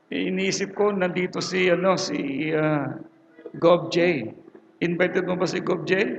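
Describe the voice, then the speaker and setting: Fairly even intonation with audible room echo and noticeable background noise. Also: man, high pitch for a man. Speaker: preacher. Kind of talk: sermon. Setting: church with audience and speakers. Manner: casual, halting. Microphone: low quality recording.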